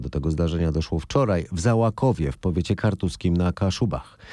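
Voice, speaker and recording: Talking very fast, a man uses a dark, mellow tone with lively intonation. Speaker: news podcast host. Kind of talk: formal newsreading, studio-style daily news summary. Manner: formal, brisk, even newsreader delivery.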